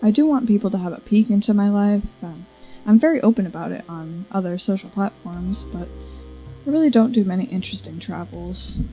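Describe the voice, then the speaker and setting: A woman at a fairly quick pace with big swings in loudness and music in the background. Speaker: content creator. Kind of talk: casual talk to camera. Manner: stutters.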